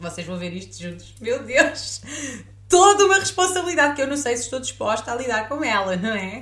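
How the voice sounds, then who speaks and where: With a European Portuguese accent, a woman with a high pitch talks at a fairly quick pace in an animated tone, using very wide pitch swings and big swings in loudness over noticeable background noise. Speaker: podcast host. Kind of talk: casual chat.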